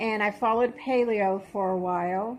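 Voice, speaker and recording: A woman's plain, everyday voice, fairly high in pitch, with fairly even intonation and a fairly slow pace. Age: 60s. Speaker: vlogger documenting weight loss. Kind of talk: personal vlog testimony. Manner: casual with frequent fillers.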